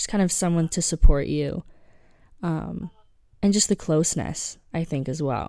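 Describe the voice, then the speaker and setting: A woman speaks in a dark, mellow tone at a fairly low pitch. Her pauses are long and frequent. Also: ordinary pitch variation, moderate pace. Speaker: podcast co-host. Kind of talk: casual chat. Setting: remote recording, hosts in different time zones. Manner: low-energy.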